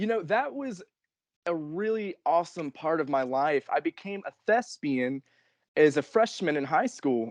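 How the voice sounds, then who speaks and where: A plain, everyday voice moves at a fairly slow pace with lively intonation. The sound is dry and close with no echo, over a quiet background. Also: man. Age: 20s. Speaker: professional wrestler. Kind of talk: interview.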